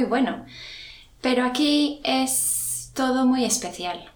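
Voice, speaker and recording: Pitch varies in an ordinary way as a woman talks over noticeable background noise. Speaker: secondary school teacher. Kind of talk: interview. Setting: school.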